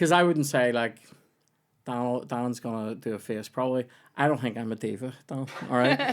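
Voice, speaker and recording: A man with a Northern Irish accent speaks at a moderate pace and medium pitch, his intonation fairly even, with long, frequent pauses. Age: 30s. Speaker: comedian and podcast host. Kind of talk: casual chat.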